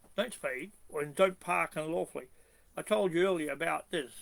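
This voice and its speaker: A man speaks with an Australian accent at a moderate pace. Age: 70s. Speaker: constitutional activist. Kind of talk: video monologue.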